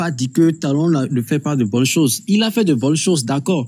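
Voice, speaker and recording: At a moderate pace, a man's fairly high voice, an ordinary speaking voice, varies its pitch in an ordinary way. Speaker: participant in live online discussion. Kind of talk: heated debate.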